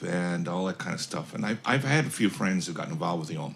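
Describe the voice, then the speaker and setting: Noticeable background noise sits behind speech delivered at a moderate pace, its pitch varying in an ordinary way. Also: man. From United States. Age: 60s. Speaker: author. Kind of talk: casual chat.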